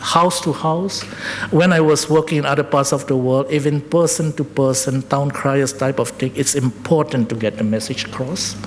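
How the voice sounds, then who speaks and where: A man's fairly high voice in a non-native accent, at a moderate pace with ordinary pitch variation, over noticeable background noise. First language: not English. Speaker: public health expert presenter. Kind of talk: presentation at public forum. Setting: public forum with audience. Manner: halting, self-correcting.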